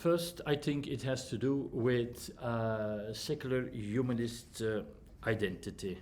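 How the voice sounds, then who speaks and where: Speaking with a non-native accent, a man uses a medium pitch and ordinary pitch variation, with audible room echo around him. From Flanders, Belgium. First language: Dutch (Flemish). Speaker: humanist counsellor and trainer. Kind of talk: lecture. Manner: halting, many fillers.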